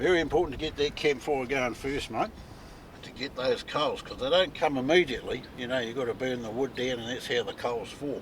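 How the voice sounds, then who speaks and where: In a New Zealand accent, a man speaks fairly quickly at a medium pitch with ordinary pitch variation. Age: 60s. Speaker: outdoor cooking vlogger. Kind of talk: casual vlog narration. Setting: outdoors on a beach. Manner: relaxed, conversational.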